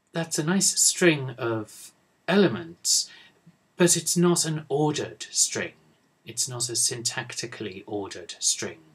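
A man talks at a fairly slow pace in a British accent. His intonation is lively, with vocal fry. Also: fairly high pitch for a man. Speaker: university English professor; lecturer. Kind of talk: lecture. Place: office. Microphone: webcam.

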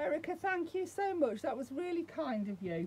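The pitch moves in very wide swings. The pace is moderate. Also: woman. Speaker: hobby vlogger. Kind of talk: casual vlog chat. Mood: warm, delighted, grateful. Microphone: phone near.

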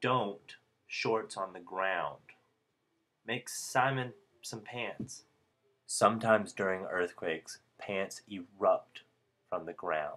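A man speaks at a very slow pace, with long, frequent pauses and big swings in loudness. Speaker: comedy vlogger. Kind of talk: comedic parody how-to narration. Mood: deadpan playful comedy. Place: home room. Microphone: webcam.

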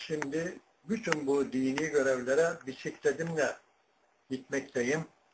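Speaking at a very slow pace, a man with a fairly high pitch and ordinary pitch variation comes through over noticeable background noise. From Turkey. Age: 80s+. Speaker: retired imam and muezzin; retired imam. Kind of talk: personal life story. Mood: calm, modest. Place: home room. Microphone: webcam.

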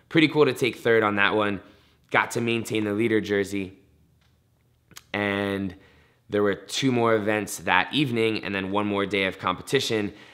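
A man with a fairly low pitch, fairly even intonation, a moderate pace and long, frequent pauses, over a quiet background. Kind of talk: interview answer. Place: studio.

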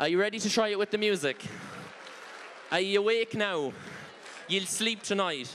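A man speaks at a moderate pace with a high pitch and ordinary pitch variation, his loudness very even. Long pauses come often, and crowd noise sounds in the background. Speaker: line dance instructor. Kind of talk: dance class instruction with counts. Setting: stage with audience. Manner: animated. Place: stage. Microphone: handheld.

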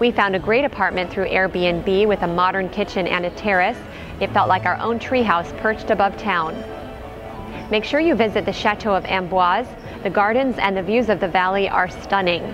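Music plays in the background as a woman speaks at a moderate pace. Her loudness stays very even, and her pitch varies in an ordinary way. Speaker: travel vlogger narrator. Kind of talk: travel narration.

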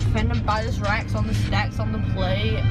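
Woman speaking over loud background music. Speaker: vlogger after dental surgery. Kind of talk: casual vlog chat, improvised freestyle rap. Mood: groggy, silly, drowsy. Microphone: phone near.

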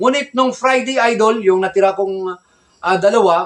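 The man talks at a moderate pace. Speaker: gamefowl breeder vlogger. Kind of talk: casual vlog talk.

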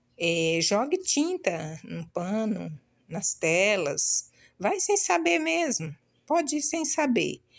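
A woman's lively intonation comes through at a very slow pace, with little behind her but a quiet background. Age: 60s. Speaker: video blogger. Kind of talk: casual vlog talk to viewers. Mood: proud, grateful, some grief. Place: home room. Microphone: phone near.

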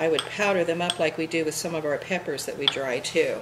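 A woman speaks at a moderate pace in a fairly low voice, with noticeable noise behind her. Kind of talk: cooking tutorial. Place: kitchen.

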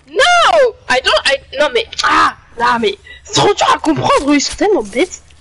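Noticeable background noise sits behind a man speaking in a French accent at a moderate pace. His raised, projected voice is extremely high and swings very widely in pitch. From France. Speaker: online gamer. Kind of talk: casual chat. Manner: halting.

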